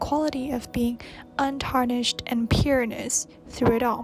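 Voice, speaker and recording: Music plays in the background as a woman with a high, breathy voice speaks at a fairly slow pace with fairly even intonation. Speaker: video essayist. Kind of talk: video essay narration.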